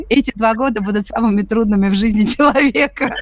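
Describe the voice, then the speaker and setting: This woman's voice is fairly high and somewhat breathy. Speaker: radio host. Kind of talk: live radio talk show. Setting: studio.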